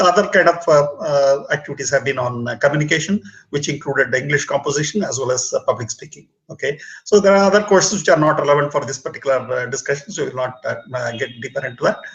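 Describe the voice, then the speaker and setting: This man talks at a very fast pace with a Tamil accent. His pitch is fairly high and shows ordinary variation. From southern India, Bangalore. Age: 60s. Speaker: retired engineer and public speaking mentor. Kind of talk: casual talk show conversation. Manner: halting, many fillers.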